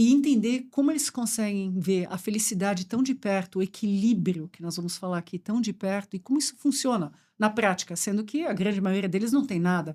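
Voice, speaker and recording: In a very clean recording with a silent background, a woman speaks fairly quickly at a medium pitch, her dark, mellow tone showing ordinary pitch variation. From Brazil, German and Swiss parents. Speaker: supply chain executive. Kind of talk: podcast conversation.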